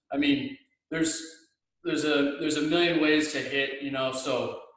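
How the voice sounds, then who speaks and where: Audible room echo surrounds a man of fairly high pitch speaking at a moderate pace. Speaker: hitting coach. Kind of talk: tutorial. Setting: video call from home. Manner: loud.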